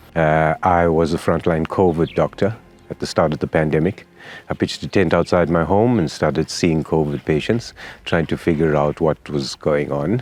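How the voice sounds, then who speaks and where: Over music in the background, a man with a very deep, low pitch speaks at a moderate pace, with ordinary pitch variation and very even loudness. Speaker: general practitioner. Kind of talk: interview.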